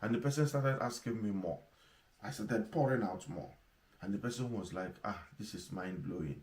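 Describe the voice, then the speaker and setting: Lively intonation marks this fairly quick delivery in a strong Nigerian accent. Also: man, medium pitch for a man. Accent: strong Igbo Nigerian. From Nigeria, Igbo. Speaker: pastor / leadership teacher. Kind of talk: sermon.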